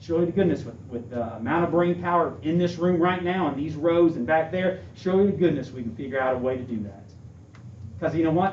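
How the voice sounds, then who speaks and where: Speaking at a very fast pace with lively intonation, a man with a fairly high pitch is heard over audible room echo. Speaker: school administrator candidate. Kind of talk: interview Q&A. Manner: animated.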